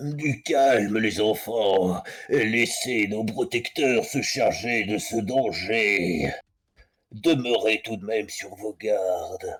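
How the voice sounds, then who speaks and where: A very slow, put-on character voice from a man at medium pitch. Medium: actual play. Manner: grave, paternal.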